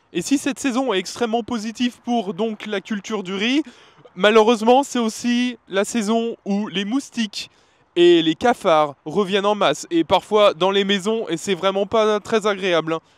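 Recorded dry with no echo, a man with a high pitch and ordinary pitch variation speaks at a fairly slow pace. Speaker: travel vlogger. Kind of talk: on-location vlog talk to camera. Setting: outdoors in the rain by rice fields. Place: open country. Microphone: handheld.

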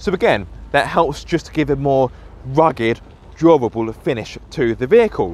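A man at a moderate pace in a dry sound with no echo. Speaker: car reviewer. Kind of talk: walkaround commentary. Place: open country. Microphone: phone near.

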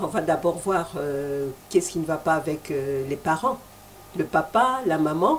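With light background noise behind her, a woman speaks at a fairly slow pace with lively intonation in an unremarkable speaking voice. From DR Congo. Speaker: TV host. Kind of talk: TV interview. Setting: TV studio. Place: studio. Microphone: handheld.

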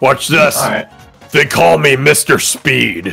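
A raspy, put-on character voice speaks at a fairly slow pace while faint music plays in the background. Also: man, medium pitch for a man. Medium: game stream. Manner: brash, excitable.

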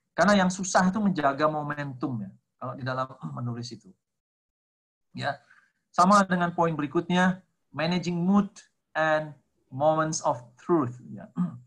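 The speaker keeps a moderate pace with ordinary pitch variation and long, frequent pauses. The background is quiet. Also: man, fairly high pitch for a man. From Indonesia. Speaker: lecturer and textbook author; guest, lecturer. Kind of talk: online seminar talk. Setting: video call. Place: home room. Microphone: video call.

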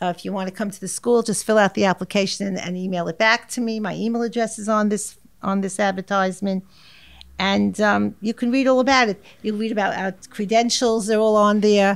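A woman talks in a New York accent at a fairly quick pace. Her pitch is medium and her intonation fairly even. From New York, Far Rockaway. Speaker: art teacher. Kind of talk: interview. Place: meeting room. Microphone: studio mic.

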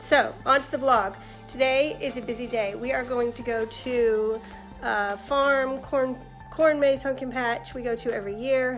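Fairly slow, fairly even speech over faint music in the background. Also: woman, high pitch for a woman. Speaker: family vlogger. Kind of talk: casual vlog chat. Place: home room. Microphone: phone near.

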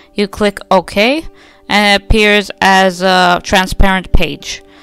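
Over music in the background, a woman speaks at a medium pitch with fairly even intonation. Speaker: digital artist. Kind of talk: casual screen-recording tutorial. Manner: audible effortful breathing.

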